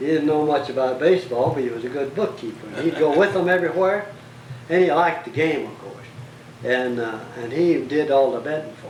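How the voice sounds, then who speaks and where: A man with an American accent talks at a fairly quick pace, his loudness swinging widely and his pitch varying in an ordinary way, over noticeable background noise. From Bastrop County, Texas. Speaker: local historian, former tax collector. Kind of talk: interview answer.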